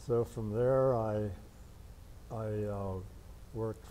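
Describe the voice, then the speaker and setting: Light background noise sits behind a man with a fairly low pitch and fairly even intonation. He speaks at a very slow pace. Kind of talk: interview answer. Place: hall. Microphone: lapel.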